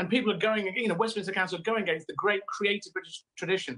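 A man speaks in a raised, projected voice with a bright, sharp tone. His pace is very fast, and the background is quiet. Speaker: remote guest. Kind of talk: interview answer. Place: home room. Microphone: video call.

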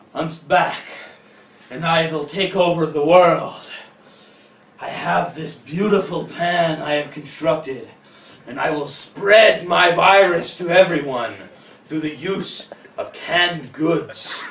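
A man does a put-on character voice pitched high. He delivers it at a very slow pace. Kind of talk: amateur comic villain acting. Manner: gloating, megalomaniac.

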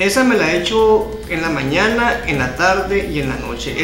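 Clear music sounds in the background as a man talks at a moderate pace with ordinary pitch variation. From Navojoa, Sonora, Mexico. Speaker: amateur announcer, live streamer. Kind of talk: interview answer. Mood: earnest, appealing for help. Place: home room. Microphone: handheld.

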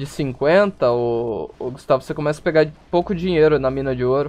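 Speaking with a normal speaking voice, a man talks at a fairly high pitch and a moderate pace with ordinary pitch variation. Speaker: streamer. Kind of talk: casual chat. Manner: casual, chatty.

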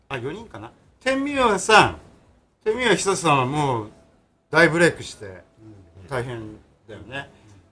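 A man with a bright, sharp tone and fairly high pitch speaks fairly slowly, using long, frequent pauses, very wide pitch swings and big swings in loudness. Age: 50s. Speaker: magazine editor. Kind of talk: casual chat. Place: studio.

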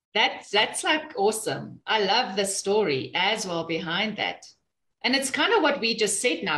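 Against a quiet background, a woman talks at a fairly slow pace with a medium pitch, an animated tone and lively intonation. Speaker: co-host of a business talk show. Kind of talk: casual chat. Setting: video call. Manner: animated, excitable. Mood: cheerful, enthusiastic. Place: office. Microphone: video call.

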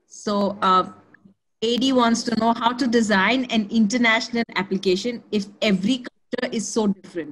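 This woman has an unremarkable speaking voice with a fairly high pitch. Her intonation stays fairly even at a moderate pace. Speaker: webinar moderator. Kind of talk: Q&A moderation.

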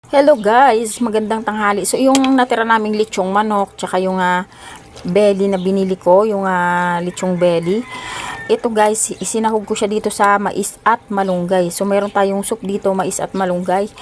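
Behind the woman's medium-pitched voice, background noise is noticeable. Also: fairly even intonation, moderate pace. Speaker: vlogger. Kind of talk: casual vlog narration.

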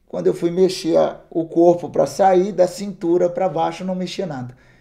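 Against a quiet background, a man with a high pitch and a dark, mellow tone speaks at a moderate pace. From Minas Gerais, Brazil (Governador Valadares); Minas Gerais, Brazil. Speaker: missionary; interviewee. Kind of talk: testimony. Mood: earnest storytelling. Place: studio.

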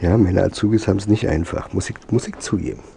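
A man's voice over noticeable background noise. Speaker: DIY motorbike builder and video creator. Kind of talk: workshop vlog tutorial. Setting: home workshop. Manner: casual.

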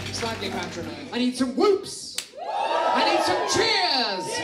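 A man talks in a raised, projected voice with music in the background. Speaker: event host, compere, comedian. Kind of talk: cabaret compere addressing a live audience. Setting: live venue with audience. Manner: theatrical, energetic. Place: stage.

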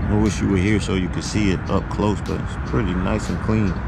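Music plays in the background of this dry recording with no echo, where the voice shows ordinary pitch variation. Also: man. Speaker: vlogger at car show. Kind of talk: casual vlog chat. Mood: relaxed, admiring. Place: street. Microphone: phone near.

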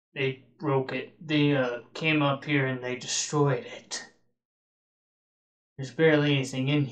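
In a put-on character voice pitched low-to-middle, the speaker moves at a fairly slow pace with long, frequent pauses. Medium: machinima. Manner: casual, friendly, easily surprised.

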